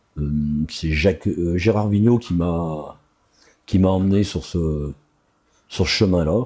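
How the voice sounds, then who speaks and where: Against a quiet background, a man with a very deep, low pitch and a dark, mellow tone speaks at a fairly slow pace. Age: 60s. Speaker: youth rugby coach. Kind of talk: interview. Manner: hesitant, many fillers.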